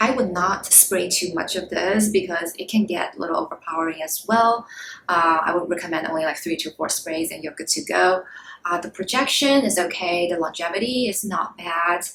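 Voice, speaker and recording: A woman with a non-native accent speaks at a moderate pace, fairly low in pitch with ordinary pitch variation, over noticeable background noise. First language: not English. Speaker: beauty YouTuber. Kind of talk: product review vlog. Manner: casual, hesitant with fillers.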